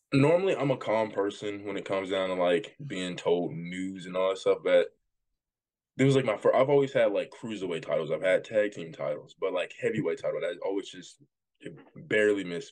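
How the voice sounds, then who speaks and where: With a Southern US accent, the speaker talks at a fairly quick pace and shows big swings in loudness. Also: man. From US South, Jackson, Tennessee. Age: 20s. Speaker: pro wrestler. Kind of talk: interview.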